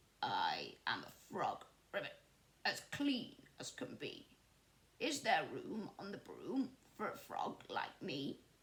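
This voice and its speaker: The speaker puts on a croaky, high-pitched character voice. Delivery is at a fairly slow pace. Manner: polite.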